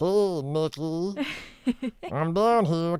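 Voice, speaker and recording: Pitched in the middle range, the speaker uses a put-on character voice. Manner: taunting.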